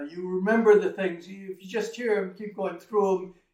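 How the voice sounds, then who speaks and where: A man speaks at a moderate pace. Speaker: tai chi instructor. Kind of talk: guided movement class.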